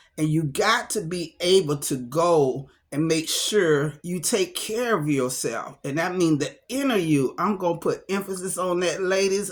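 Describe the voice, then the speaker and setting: A woman's medium-pitched voice, animated in tone, with lively intonation. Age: 60s. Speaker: motivational talk show host. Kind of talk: casual motivational talk.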